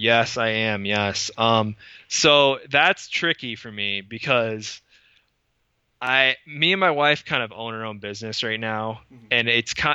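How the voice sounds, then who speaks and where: A plain, everyday voice: a man with an American accent at medium pitch, fairly slow pace, ordinary pitch variation and big swings in loudness. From Michigan, west side. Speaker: custom car historian and researcher. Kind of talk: casual interview. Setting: in-person recording.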